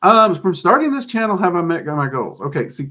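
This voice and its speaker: In a Southern US accent, a man projects a raised voice with a bright, sharp tone and lively intonation. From US South. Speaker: occult YouTuber and teacher. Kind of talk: live-stream Q&A chat. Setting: live stream on camera. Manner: casual, hesitant with fillers.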